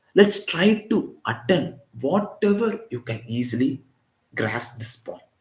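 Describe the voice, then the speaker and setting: With a Tamil accent, a man speaks at a high pitch and a very slow pace, making very wide pitch swings and big swings in loudness. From Tamil Nadu, India (Chennai). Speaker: physics teacher. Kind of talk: live online lecture.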